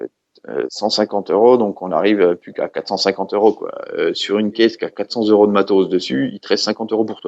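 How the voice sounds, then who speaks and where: A man with a Franche-Comté accent talks at a very fast pace, his loudness swinging in big ways. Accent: Franche-Comté regional French. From eastern France, Franche-Comté (Haute-Saône). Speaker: custom snare drum maker. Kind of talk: casual interview chat. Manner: hesitant, many fillers and repetitions; casual, informal.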